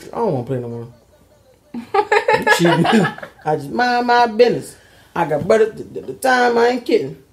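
A man with an American accent talks at a fairly quick pace in a high pitch, his pitch swinging very widely. He leaves long, frequent pauses, and noticeable background noise sits behind him. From Baltimore, USA. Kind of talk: casual vlog talk, joking banter with partner. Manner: playful, joking. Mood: playful, laughing. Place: home room.

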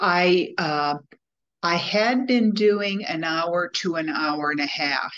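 A woman's fairly low-pitched voice, bright and sharp in tone, at a very slow pace with ordinary pitch variation. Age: 70s. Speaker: coach, former social worker. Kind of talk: interview answer. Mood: reflective, slightly self-critical. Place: home room. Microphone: video call.

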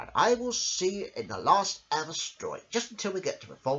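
What we hear is plain reading aloud.

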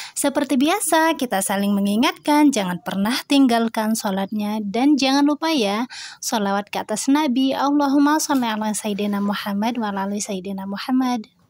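At a fairly high pitch, a woman speaks with lively intonation at a moderate pace, hardly pausing, in a dry sound with no echo. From Indonesia. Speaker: homemaker vlogger and Quran teacher for children. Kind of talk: casual vlog narration. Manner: friendly, chatty. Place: home room. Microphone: camera far.

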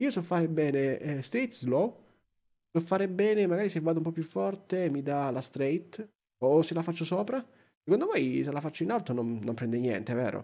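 The tone is dark and mellow. Pitch swings very widely. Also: man, fairly high pitch for a man, moderate pace, quiet background. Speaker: gaming YouTuber. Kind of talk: let's play commentary. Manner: animated.

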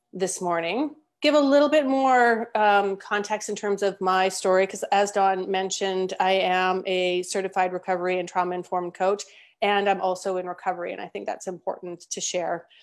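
A woman at a moderate pace, with ordinary pitch variation, against a quiet background. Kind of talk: webinar presentation. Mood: warm, encouraging. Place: home room. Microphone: earbuds.

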